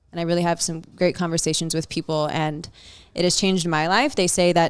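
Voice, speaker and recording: On a very clean recording with a silent background, a woman with an American accent talks at a fairly quick pace and a fairly low pitch. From South Texas. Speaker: shuffle dance studio owner and instructor. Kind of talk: podcast interview. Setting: in-person at a bathhouse venue. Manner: loud, confident; animated.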